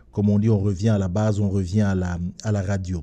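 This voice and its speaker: Low-pitched for a man, this dark, mellow voice stays monotone and flat. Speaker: radio host. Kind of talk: radio show opening monologue. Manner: halting.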